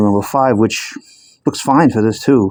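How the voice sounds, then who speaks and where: Mumbling in a fairly low pitch, a man talks with a dark, mellow tone. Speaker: mechanic. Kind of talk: casual talk to camera. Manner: mumbling, hesitant.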